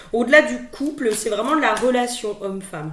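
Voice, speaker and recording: A woman talks at a fairly slow pace, her pitch swinging very widely. Noticeable background noise and audible room echo fill the recording. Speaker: spiritual guidance card reader. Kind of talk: tarot guidance monologue. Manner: hesitant, many filler words and repetitions; loud.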